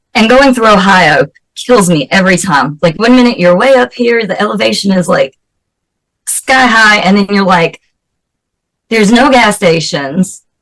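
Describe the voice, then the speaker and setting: Lively in intonation and very even in loudness, a woman with a Southern US accent speaks with long, frequent pauses. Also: medium pitch for a woman, moderate pace. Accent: Southern American. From US South, North Carolina. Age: 40s. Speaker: special effects makeup artist and actress. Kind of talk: interview.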